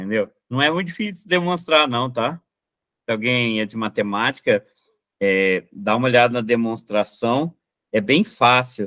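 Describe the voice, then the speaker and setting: Against a quiet background, a man speaks at a fairly slow pace with a bright, sharp tone and lively intonation. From Minas Gerais, Brazil. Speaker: math teacher. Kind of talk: online lecture solving exam questions. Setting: live online class with chat. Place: home room. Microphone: webcam.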